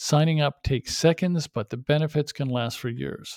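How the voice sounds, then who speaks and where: A man with an ordinary speaking voice speaks at a fairly high pitch and a moderate pace, with ordinary pitch variation. The recording is very clean and dry, with a close sound, no echo and a silent background. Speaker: podcast host. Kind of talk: podcast intro and interview.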